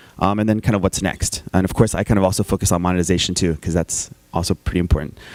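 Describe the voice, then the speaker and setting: A man with a very deep, low pitch at a very fast pace, fairly even intonation, dry, close sound with no echo. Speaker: tech entrepreneur and conference speaker. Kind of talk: conference talk with slides. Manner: casual, many filler words.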